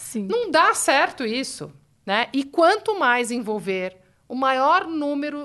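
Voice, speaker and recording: A woman's bright, sharp tone with very wide pitch swings at a very slow pace. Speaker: philanthropy director. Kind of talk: interview. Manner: halting.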